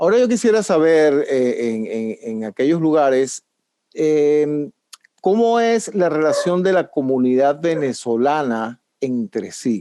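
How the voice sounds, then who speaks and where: This man's voice is dark and mellow, pitched fairly high, with very wide pitch swings. He speaks at a very slow pace. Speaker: show host. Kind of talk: interview moderation.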